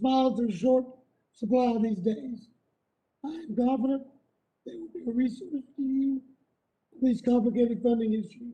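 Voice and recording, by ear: A squeaky, female-sounding put-on character voice with high pitch moves at a moderate pace, broken by long, frequent pauses.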